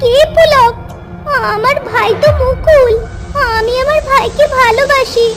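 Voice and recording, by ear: A woman's cartoonish character voice, extremely high in pitch and fairly slow, with clear music in the background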